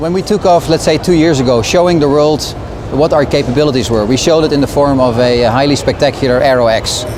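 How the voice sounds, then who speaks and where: With noticeable background noise behind him, a man speaks in a fairly high pitch with ordinary pitch variation. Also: very even loudness. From Netherlands. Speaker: car company communications director. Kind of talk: interview. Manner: hesitant, many fillers.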